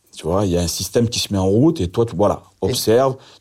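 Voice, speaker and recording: A man's fairly low voice with a dark, mellow tone, lively intonation and a very fast pace, on a very clean recording with a silent background. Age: 50s. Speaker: convicted drug trafficker telling his story. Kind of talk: interview storytelling.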